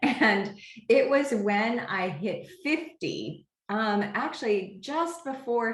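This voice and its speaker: Audible room echo hangs around this voice. The speaker is a woman. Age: 60s. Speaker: homeopath and product creator. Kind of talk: interview. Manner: hesitant, many fillers.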